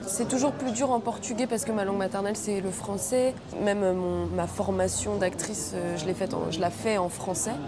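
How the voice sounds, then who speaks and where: At a fairly quick pace, a woman of medium pitch speaks with ordinary pitch variation, over noticeable background noise and audible room echo. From Brazil (Rio de Janeiro). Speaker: actress. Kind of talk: film interview.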